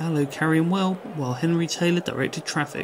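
A man talks at a very fast pace with ordinary pitch variation while noticeable background noise plays. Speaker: sports commentator. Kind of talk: sports commentary. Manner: brisk, clipped match-report delivery; even, informative and polished, with a promotional sign-off.

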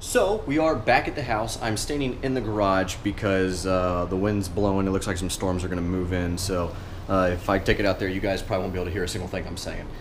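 With light background noise behind him, a man with a very deep, low voice talks at a very fast pace, hardly pausing and using ordinary pitch variation. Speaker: car vlogger. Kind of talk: casual vlog chat. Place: garage. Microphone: phone near.

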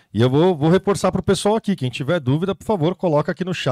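Talking at a very fast pace, a man has a fairly high pitch and ordinary pitch variation. The sound is dry with no echo, and the background is quiet. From Brazil. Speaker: event host and moderator; event host, moderator. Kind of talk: live Q&A moderation. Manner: animated. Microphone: handheld.

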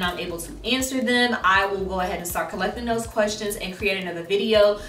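With light background noise and audible room echo, a woman speaks at medium pitch and a fairly quick pace, her pitch varying in an ordinary way. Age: 30s. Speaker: fashion content creator; content creator. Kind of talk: casual vlog tutorial. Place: home room.

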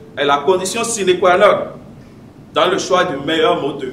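A man with a high voice speaks amid light background noise and audible room echo. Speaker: public speaking club member; speaker. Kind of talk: prepared speech. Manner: read from notes. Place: meeting room. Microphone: podium.

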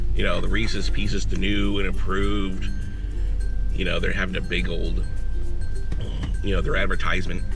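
Clear music plays behind a male speaker as he talks. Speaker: food reviewer. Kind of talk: casual vlog chat. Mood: mildly disappointed, joking. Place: car. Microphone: phone near.

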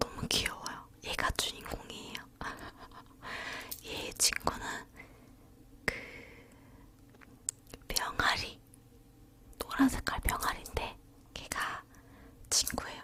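Noticeable background noise sits behind a very slow whisper broken by long, frequent pauses. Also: woman. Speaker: ASMR YouTuber. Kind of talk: ASMR whispered talk to camera. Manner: whispered.

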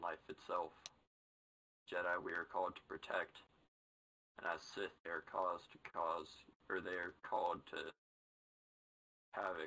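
This man uses a put-on character voice, raspy and very deep and low in pitch. He speaks at a moderate pace with long, frequent pauses. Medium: actual play. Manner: slow, halting, contemplative.

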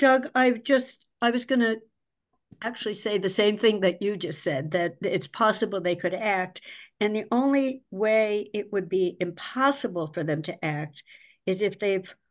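A woman speaks at a fairly slow pace. Her pitch varies in an ordinary way against a quiet background. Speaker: finance committee member. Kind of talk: public committee meeting discussion. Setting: video call. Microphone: video call.

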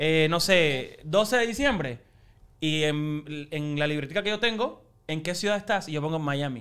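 A man's fairly high-pitched voice with ordinary pitch variation against a quiet background. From Cuba. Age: 20s. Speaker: TV host and actor; TV host, actor. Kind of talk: casual chat. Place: studio. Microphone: studio mic.

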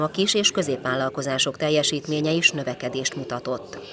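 The pace is fairly quick. Noticeable background noise is present. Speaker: news reporter. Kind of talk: news reading.

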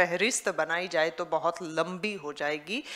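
A woman is speaking. Her pace is fairly slow. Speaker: event host. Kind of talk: stage announcement introducing a performer. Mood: warm, praising, oratorical. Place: stage. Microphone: podium.

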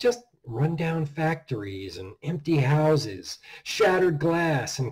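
A dark, mellow tone delivered at a very slow pace. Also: man. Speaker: horror author reading his own story. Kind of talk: dark Christmas horror story narration. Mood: dark, measured narration. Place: home room. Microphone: webcam.

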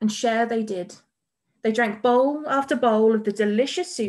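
Quiet background, a natural reading voice

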